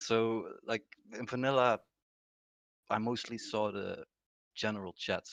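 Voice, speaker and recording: A soft-spoken man is heard with a dry, close sound and no echo. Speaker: gaming guild leader. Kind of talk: casual interview.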